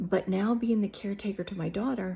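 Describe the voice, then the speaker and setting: A woman speaks in a dark, mellow tone that is somewhat breathy. Her pitch varies in an ordinary way. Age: 60s. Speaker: YouTuber, life coach. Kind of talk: casual vlog monologue. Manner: animated.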